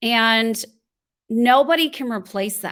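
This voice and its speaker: A woman speaks at a very slow pace with a fairly high pitch. The recording is very clean, with a silent background. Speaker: voiceover artist and voice coach. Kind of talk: podcast interview answer.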